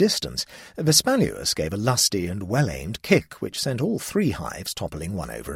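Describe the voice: What you hear is someone plainly reading aloud.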